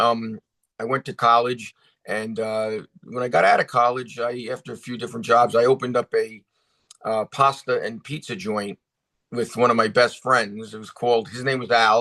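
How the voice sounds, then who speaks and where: In an American accent, the speaker keeps a moderate pace and fairly even intonation with a bright, sharp tone, loudness swinging widely in a dry, close sound with no echo. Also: man, medium pitch for a man. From New York, Bronx and Rockland County. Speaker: actor and director. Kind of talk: interview. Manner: casual, with many fillers.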